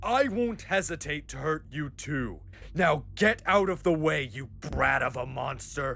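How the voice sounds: A man puts on a character voice at a fairly high pitch, bright and sharp in tone with vocal fry. He moves at a fairly slow pace with lively intonation.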